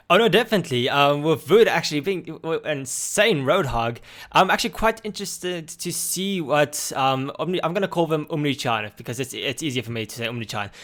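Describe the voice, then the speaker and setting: A man with an Afrikaans accent talks fairly fast at a fairly high pitch, with lively intonation and hardly any pauses. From South Africa. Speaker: esports commentator. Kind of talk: live commentary. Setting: live stream. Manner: halting.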